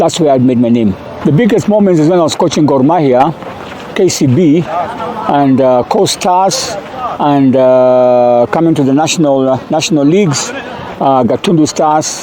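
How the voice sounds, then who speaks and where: Noticeable background noise sits behind a man with a fairly high pitch and lively intonation. He keeps a moderate pace and very even loudness. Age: 60s. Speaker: football coach. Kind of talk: interview. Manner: halting.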